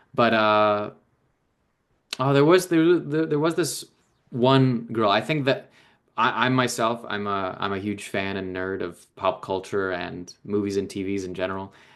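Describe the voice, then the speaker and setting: An unremarkable speaking voice belongs to a man with a fairly low pitch. He talks at a fairly slow pace with lively intonation. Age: 20s. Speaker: actor. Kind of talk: interview answer.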